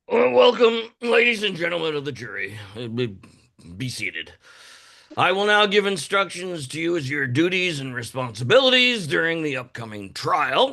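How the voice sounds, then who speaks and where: A put-on character voice speaks at a moderate pace. Its pitch swings very widely. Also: man, high pitch for a man. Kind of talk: musical theatre reading. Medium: stage play. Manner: formal, stern.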